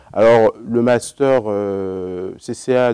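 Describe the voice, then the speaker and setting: A man speaks with a fairly low pitch. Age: 20s. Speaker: accountant, former student. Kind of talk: interview. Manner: hesitant, many fillers.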